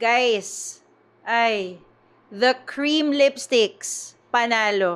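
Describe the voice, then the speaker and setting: A woman speaks with a fairly high pitch. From Philippines. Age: 40s. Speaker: beauty vlogger. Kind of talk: product review. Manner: animated. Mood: upbeat, enthusiastic. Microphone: phone near.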